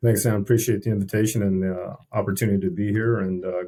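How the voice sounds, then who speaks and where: A man's fairly low, somewhat breathy voice at a very fast pace with fairly even intonation. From US Army family, moved around; Texas and California. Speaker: army veteran, state veterans official. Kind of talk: casual interview.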